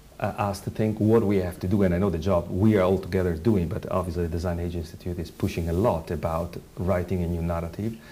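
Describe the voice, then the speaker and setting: A man's very deep, low, dark and mellow voice in an Italian accent, very fast with hardly any pauses and fairly even intonation. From Italy. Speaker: design researcher. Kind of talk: panel discussion. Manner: halting.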